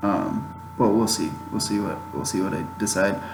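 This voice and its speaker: Music plays in the background as a man with an American accent speaks amid audible room echo. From Chicago, US Midwest. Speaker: YouTuber podcast host. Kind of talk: casual solo podcast monologue.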